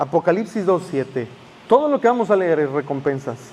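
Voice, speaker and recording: This is a man speaking. His pitch is high. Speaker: pastor. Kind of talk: sermon.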